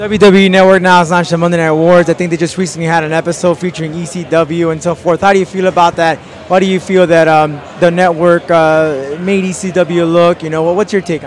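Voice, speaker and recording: High-pitched male speech, very fast with hardly any pauses, in a monotone, flat intonation over noticeable background noise. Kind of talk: interview host questions.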